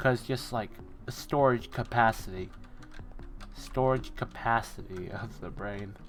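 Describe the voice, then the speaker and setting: Music plays in the background. The speech moves at a fairly slow pace with long, frequent pauses. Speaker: gaming streamer. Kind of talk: casual gameplay commentary. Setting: live stream. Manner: talkative, thinking aloud with fillers; occasional stutters and self-corrections.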